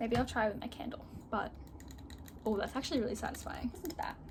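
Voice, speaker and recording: Amid noticeable background noise, a woman with a high pitch speaks at a very fast pace. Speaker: vlogger. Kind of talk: casual chat. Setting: in her bedroom. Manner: loud; animated.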